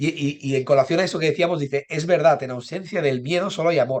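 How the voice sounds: A man speaks at a fast pace with a fairly high pitch. His voice is nasal. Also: ordinary pitch variation.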